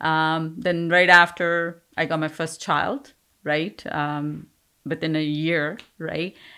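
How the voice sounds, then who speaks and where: A woman with an Indian accent speaks very slowly in a bright, sharp tone, her intonation fairly even. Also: very clean recording, silent background. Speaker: business owner. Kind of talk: interview.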